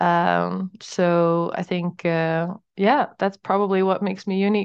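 At a very slow pace, a woman with a Dutch accent speaks at a medium pitch with fairly even intonation. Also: quiet background. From Netherlands. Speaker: startup founder. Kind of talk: interview.

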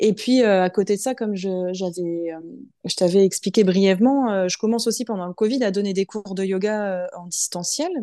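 Against a quiet background, a woman with a dark, mellow tone speaks with ordinary pitch variation and big swings in loudness. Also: medium pitch for a woman, moderate pace. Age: 30s. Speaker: finance manager and yoga teacher. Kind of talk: interview. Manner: hesitant, many fillers.

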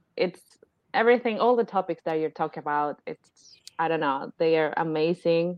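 Speaking with an Argentine accent, a woman of fairly low pitch talks at a moderate pace with ordinary pitch variation. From Argentina. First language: Spanish. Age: 30s. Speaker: life coach and new mother. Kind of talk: casual chat. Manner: hesitant, many fillers.

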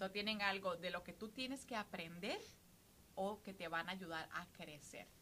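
In an unremarkable speaking voice, a woman talks at a medium pitch and moderate pace with ordinary pitch variation. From Costa Rica. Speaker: podcast co-host. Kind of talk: casual chat.

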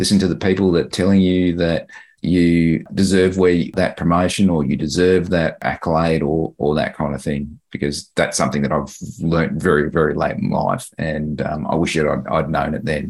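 A man with an Australian accent, a very deep, low pitch and vocal fry, at a moderate pace with ordinary pitch variation. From Queensland, Australia (Mount Isa). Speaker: public servant. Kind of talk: group coaching conversation.

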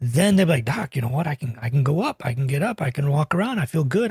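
A man's fairly high, somewhat breathy voice at a fairly quick pace, with a dry, close sound and no echo. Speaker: obesity medicine physician and podcast host. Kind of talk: casual interview chat.

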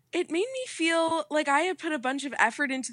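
A woman projects a raised voice with a bright, sharp tone, ordinary pitch variation and a moderate pace, in a dry, close sound with no echo. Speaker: host's child, guest. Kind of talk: casual chat.

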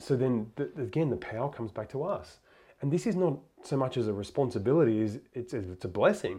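This man talks at a fairly quick clip with lively intonation, medium pitch and a somewhat breathy sound. The background is quiet. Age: 30s. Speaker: podcast host. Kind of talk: interview conversation.

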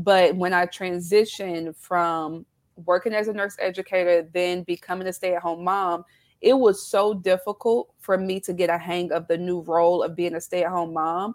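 With a Southern US accent, a woman talks in a monotone, flat intonation. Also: moderate pace. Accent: Southern US twang. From South Carolina. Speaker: business founder, former nurse educator. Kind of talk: casual interview chat.

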